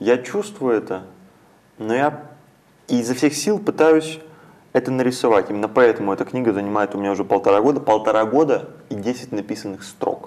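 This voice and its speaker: A man speaks at a fairly quick pace with lively intonation. His speech is broken by long, frequent pauses. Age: young. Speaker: poet. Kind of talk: interview. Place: studio. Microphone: lapel.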